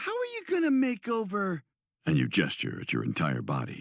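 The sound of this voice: Quiet background behind an unforced reading voice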